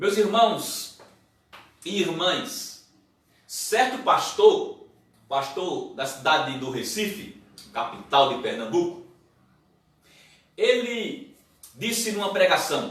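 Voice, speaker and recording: A man speaks loudly at a very slow pace, his high pitch moving in very wide swings. Audible echo fills the room. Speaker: pastor. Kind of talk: sermon.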